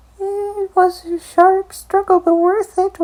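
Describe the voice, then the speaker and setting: A woman's put-on character voice, extremely high, squeaky, creaky and hissing, with monotone, flat intonation at a fairly slow pace. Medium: read story. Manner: greedy, gloating.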